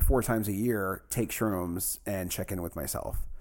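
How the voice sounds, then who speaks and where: On a very clean recording with a silent background, a man talks with vocal fry. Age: 30s. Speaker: anonymous podcast guest. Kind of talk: casual chat.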